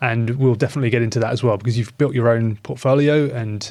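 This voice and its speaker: A man talks at a very fast pace with a British accent. His pitch is medium, and his intonation fairly even. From UK. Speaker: podcast host. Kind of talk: podcast interview.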